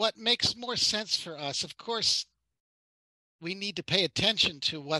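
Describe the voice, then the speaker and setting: A man speaks with lively intonation and a bright, sharp tone at a moderate pace. The sound is dry and close, with no echo. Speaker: author presenting his book on nonviolent tactics. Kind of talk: webinar presentation with Q&A. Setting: online webinar with simultaneous interpretation.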